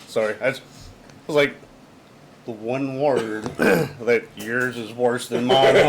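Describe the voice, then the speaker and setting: Amid noticeable background noise, a man at a medium pitch speaks at a very slow pace with fairly even intonation and big swings in loudness. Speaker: podcast co-host. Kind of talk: casual chat.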